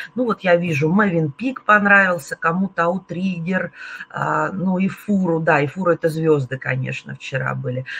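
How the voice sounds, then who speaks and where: A woman speaks in an unremarkable speaking voice at a moderate pace. Her pitch variation is ordinary. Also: fairly low pitch for a woman. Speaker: tour operator representative hosting webinar. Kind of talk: webinar presentation talk. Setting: online webinar. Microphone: webcam.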